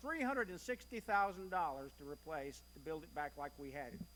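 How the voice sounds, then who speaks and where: A man with a Kentucky accent speaks in a raised, projected voice with a bright, sharp tone. His pitch swings very widely at a moderate pace. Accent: US Southern (Kentucky). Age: 60s. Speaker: church member. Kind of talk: church presentation. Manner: conversational.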